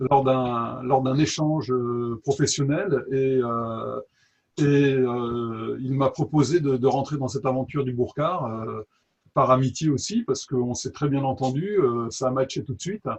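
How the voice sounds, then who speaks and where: A somewhat breathy, fairly slow delivery with ordinary pitch variation and a slight southern French accent. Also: man, medium pitch for a man. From southern France, Toulouse. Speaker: drone photographer. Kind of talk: interview. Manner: halting, many hesitations.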